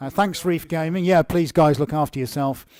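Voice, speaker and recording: On a very clean recording with a silent background, a man with an English accent speaks at a fairly high pitch. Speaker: artist hosting live Q&A. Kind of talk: live stream Q&A. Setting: art studio live stream. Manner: casual, chatty.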